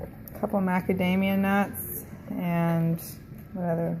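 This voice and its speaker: A woman talks in a fairly low voice. Noticeable background noise is present. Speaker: health and wellness vlogger. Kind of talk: casual talk to camera while cooking.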